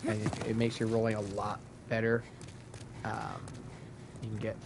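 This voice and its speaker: A man speaks at a moderate pace and medium pitch. Noticeable background noise and audible room echo fill the recording. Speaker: gaming streamer. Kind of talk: gameplay tutorial. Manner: loud; casual, hesitant fillers. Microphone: mic volume issues, too loud.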